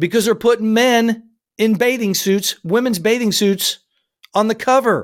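This man speaks in an animated tone with an American accent, his pitch high and his pace moderate. The recording is very clean, with a silent background. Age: 50s. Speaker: podcast host and firearms trainer. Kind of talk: solo news commentary podcast.

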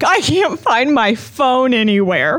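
Using a put-on character voice, a man speaks at an extremely high pitch with very wide pitch swings and a fairly slow pace. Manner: slurred, barely able to speak.

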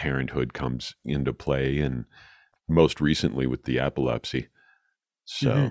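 A man with a very deep, low pitch and vocal fry talks at a very slow pace with fairly even intonation, in a dry, close sound with no echo. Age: 50s. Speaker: podcast host; radio broadcaster and voiceover artist. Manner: casual, conversational.

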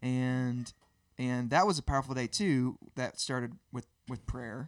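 A man with a Southern US accent speaks at a very slow pace and medium pitch, with ordinary pitch variation. The recording is very clean and silent behind him, with a dry, close sound and no echo. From Birmingham, Alabama. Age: 30s. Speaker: worship musician. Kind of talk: casual interview.

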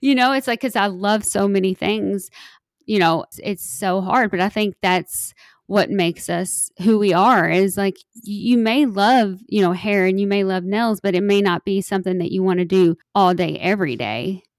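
In a Kentucky accent, a woman speaks at a medium pitch and moderate pace with ordinary pitch variation, the sound dry and close with no echo in a very clean recording with a silent background. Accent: Kentucky Southern. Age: 40s. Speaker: model and influencer. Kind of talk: casual interview.

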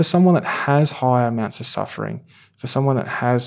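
This very clean recording has a silent background. A man speaks at a fairly quick pace with a medium pitch. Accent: Australian. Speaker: physiotherapist. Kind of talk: panel discussion. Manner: hesitant, filler-heavy.

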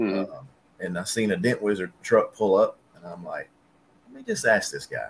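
A man with a Southern US accent talks at a moderate pace. His loudness swings widely. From West Tennessee, near Jackson. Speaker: paintless dent repair technician. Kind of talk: casual chat.

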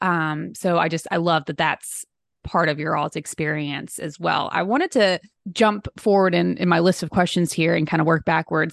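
Against a quiet background, a woman speaks at a moderate pace in a fairly low voice with vocal fry. Her intonation is fairly even, and the sound is dry and close with no echo. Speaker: podcast host. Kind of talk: interview.

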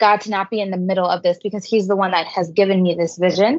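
Against a quiet background, a woman uses a normal speaking voice at a medium pitch, moving at a fairly quick pace with fairly even intonation. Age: 20s. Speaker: youth ministry coordinator. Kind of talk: interview.

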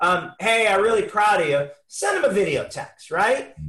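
A bright, sharp tone from a raised, projected voice. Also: man. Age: 50s. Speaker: customer service consultant and keynote speaker. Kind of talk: casual interview. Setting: video call.

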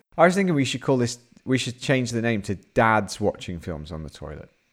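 In a very clean recording with a silent background, a man with a British accent sounds animated, talking at a fairly quick pace in a fairly low pitch with very wide pitch swings. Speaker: podcast co-host. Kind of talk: casual chat.

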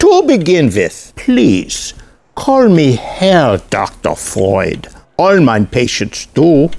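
A man puts on a character voice at a fairly high pitch with vocal fry and very wide pitch swings. He goes at a slow pace, in a slightly mellow tone.

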